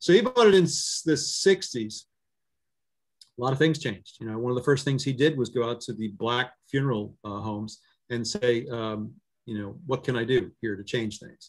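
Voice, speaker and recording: Big swings in loudness mark this man's speech, delivered in an American accent. He uses medium pitch, ordinary pitch variation and a moderate pace. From Maryland, Ocean City. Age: 60s. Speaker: newspaper editor. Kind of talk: talk with audience Q&A. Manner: halting, many fillers and repetitions.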